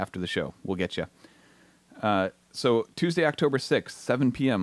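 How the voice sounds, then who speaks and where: Recorded with a dry, close sound and no echo, a man with an American accent talks at a moderate pace. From Southern California. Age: 40s. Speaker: radio station manager. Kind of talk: radio interview.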